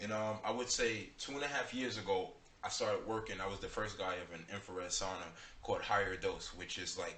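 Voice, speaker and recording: There is audible room echo. A man talks at a fairly quick pace. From New York City, Bronx. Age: 20s. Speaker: rapper. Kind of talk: radio interview.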